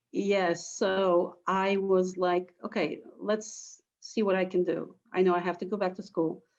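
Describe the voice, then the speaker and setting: A woman with a Polish accent speaks fairly slowly in a medium-pitched, monotone, flat voice against a quiet background. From Poland. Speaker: teacher. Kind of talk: interview.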